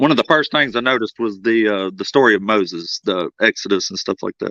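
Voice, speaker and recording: Recorded dry and close with no echo against a quiet background, a man with a bright, sharp tone speaks at a very fast pace. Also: medium pitch for a man, ordinary pitch variation. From US South. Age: 30s. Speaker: atheist guest in debate. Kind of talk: casual discussion.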